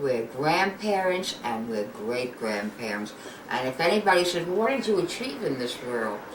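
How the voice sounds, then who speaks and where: In a New York accent, the speaker talks at a fairly slow pace with very wide pitch swings, amid noticeable background noise and audible room echo. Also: woman. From New York, Brooklyn. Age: 80s+. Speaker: grandmother. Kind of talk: family interview.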